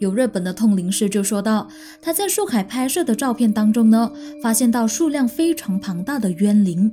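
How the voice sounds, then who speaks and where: A woman's fairly high voice with lively intonation at a moderate pace, over noticeable background noise. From Malaysia. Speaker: podcast host. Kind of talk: true-crime storytelling narration; casual chat to listeners. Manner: friendly, chatty.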